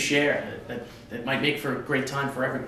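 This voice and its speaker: A man with an American accent races along at a very fast pace, with audible room echo and noticeable background noise in the recording. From New York. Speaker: public speaker. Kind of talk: prepared speech.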